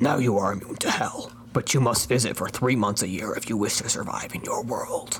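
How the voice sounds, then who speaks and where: A gravelly, whispered put-on character voice, fairly quick, over clear background noise. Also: man. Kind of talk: deliberately bad comic impression. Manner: brooding, tired, smoldering.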